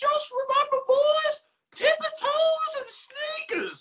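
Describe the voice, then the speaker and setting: Shouting in a put-on character voice, the speaker holds an extremely high pitch at a fairly slow pace. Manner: yelling, calling out.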